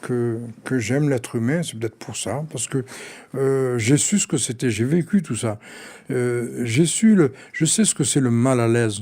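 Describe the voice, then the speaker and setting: Lively in intonation, a man with a medium-pitched voice and a dark, mellow tone speaks at a fairly slow pace. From Aix-en-Provence, southern France (born Algeria). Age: 60s. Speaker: neighbourhood resident interviewee. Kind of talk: personal interview testimony. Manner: halting, many repetitions.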